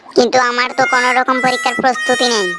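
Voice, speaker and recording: A cartoonish character voice, female-sounding and high-pitched, at a fairly quick pace over clear background music. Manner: complaining.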